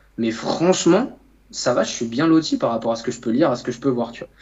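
Here a man with a medium pitch speaks at a very fast pace. His intonation is lively. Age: 20s. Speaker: nutritionist and coach. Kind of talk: casual chat.

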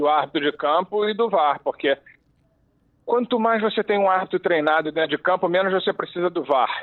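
At a moderate pace, a man speaks with a high pitch and ordinary pitch variation. His loudness stays very even. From Rio de Janeiro, Brazil. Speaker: former football referee, refereeing commentator. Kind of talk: interview.

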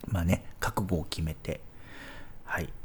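At a moderate pace, a man speaks with a fairly low pitch and very wide pitch swings. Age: 40s. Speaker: podcast host, expat office worker. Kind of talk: solo podcast monologue. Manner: hesitant, many fillers.

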